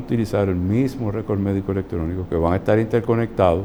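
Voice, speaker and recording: This man's fairly low voice has a dark, mellow tone and ordinary pitch variation. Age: 60s. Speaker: physician. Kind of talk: interview.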